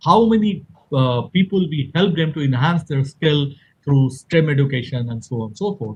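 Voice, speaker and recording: A man talks at a fairly quick pace with a fairly high pitch and lively intonation. His voice is somewhat breathy, with big swings in loudness. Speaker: engineer and event organizer. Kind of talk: conference presentation. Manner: fast.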